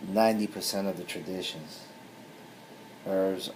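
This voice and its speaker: Very deep and low, a man's voice comes through in a flat monotone. There is noticeable background noise and audible room echo. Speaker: spiritual tradition priest. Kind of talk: video talk.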